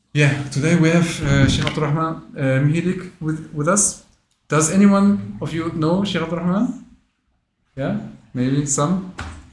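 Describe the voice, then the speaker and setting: Amid audible room echo, a man with a fairly high pitch and ordinary pitch variation speaks at a moderate pace, leaving long, frequent pauses. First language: not English. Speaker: interviewer at Islamic education association. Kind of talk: interview. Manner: halting, many fillers.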